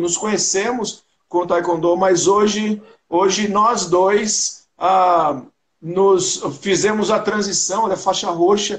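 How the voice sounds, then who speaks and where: A man speaks in a high voice. The background is quiet. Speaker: podcast guest. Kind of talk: interview answer. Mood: joking, nostalgic. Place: home room. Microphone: video call.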